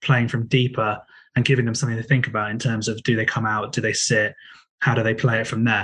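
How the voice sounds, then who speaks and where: Against a quiet background, a man speaks in a somewhat breathy voice with monotone, flat intonation. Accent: English. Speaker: football podcast co-host. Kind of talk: casual football podcast discussion.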